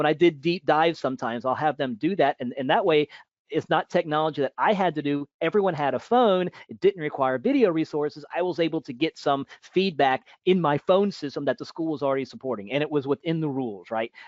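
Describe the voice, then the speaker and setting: Using hardly any pauses, a man talks at a fairly quick pace and fairly high pitch with ordinary pitch variation. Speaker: teacher. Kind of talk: webinar Q&A. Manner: fast; halting.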